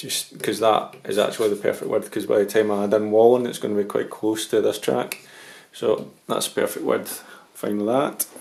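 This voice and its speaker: A man speaks with a Scottish accent at a moderate pace. Noticeable background noise is present. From Scotland. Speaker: model railway hobbyist. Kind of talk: tutorial. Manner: hesitant, many ums.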